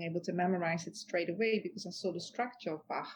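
Somewhat breathy, the voice moves at a fairly quick pace in a Dutch accent. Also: woman. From Netherlands. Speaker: author and futurist. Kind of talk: interview conversation.

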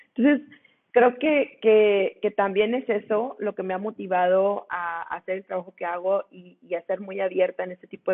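The speaker is a woman with a plain, everyday voice. Her pitch is medium, with ordinary pitch variation. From Mexico, Monclova (Coahuila). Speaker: lawyer and women's rights activist. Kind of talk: interview.

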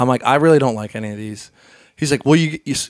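Dry and close with no echo, the very clean recording has a silent background. A man with a Central Pennsylvania accent talks fairly quickly at medium pitch. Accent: Central Pennsylvania American. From central Pennsylvania (Hershey). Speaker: DJ and remixer. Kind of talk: casual chat. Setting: host's home.

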